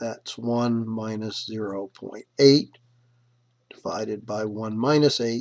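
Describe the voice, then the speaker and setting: A man speaks at a very slow pace in a medium-pitched voice. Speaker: math professor. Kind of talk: lecture. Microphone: microphone is not the problem.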